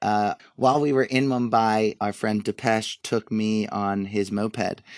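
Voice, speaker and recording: Recorded dry and close with no echo against a silent background, a man with an American accent speaks at a fairly slow pace and fairly low pitch, his intonation fairly even. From US, Delaware (Wilmington). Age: 30s. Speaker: founder of a travel photography account. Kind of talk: casual interview.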